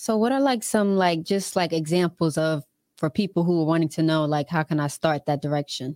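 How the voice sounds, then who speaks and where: A plain, everyday voice comes through at very even loudness, with a dry, close sound and no echo. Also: woman, fairly low pitch for a woman, ordinary pitch variation, fairly quick pace, very clean recording, silent background. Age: 20s. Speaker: podcast co-host. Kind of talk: casual chat.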